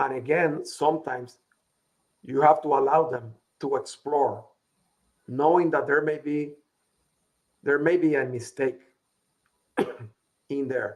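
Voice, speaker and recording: Speaking with a strong Latin American accent, a man with a fairly high voice moves at a fairly slow pace in a monotone, flat delivery broken by long, frequent pauses. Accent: heavy Latin. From Puerto Rico. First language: Spanish. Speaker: business consultant. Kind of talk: interview.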